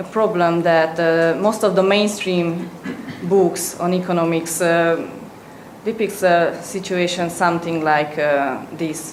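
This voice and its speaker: A woman with a Hungarian accent and a fairly low pitch, amid audible room echo and noticeable background noise. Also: fairly even intonation, fairly slow pace. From Hungary. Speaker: student presenter. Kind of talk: presentation. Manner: halting, many fillers.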